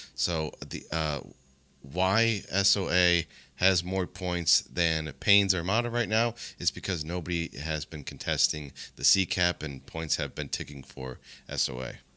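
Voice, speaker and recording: A man speaks at a very deep, low pitch with vocal fry and a bright, sharp tone. His pace is fairly slow with ordinary pitch variation, in a very clean recording with a silent background. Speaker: esports caster. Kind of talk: live commentary. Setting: live stream.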